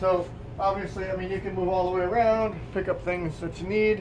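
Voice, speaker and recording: Through noticeable background noise, a man speaks at a fairly quick pace with fairly even intonation. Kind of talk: tutorial. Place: home room. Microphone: camera far.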